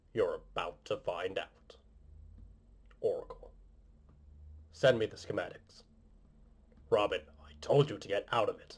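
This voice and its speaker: A man does a put-on character voice at an extremely high pitch, moving at a moderate pace with long, frequent pauses. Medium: voice reel.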